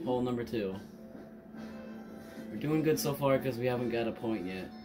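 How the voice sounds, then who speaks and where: With clear music in the background, a man speaks with ordinary pitch variation. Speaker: gamer. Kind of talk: casual gaming commentary. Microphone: camera far.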